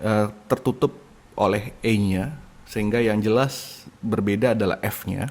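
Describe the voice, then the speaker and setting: A man's fairly low voice holds a fairly even intonation. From Indonesia. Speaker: university lecturer. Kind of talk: lecture. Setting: recorded online lecture from home. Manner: hesitant, with fillers.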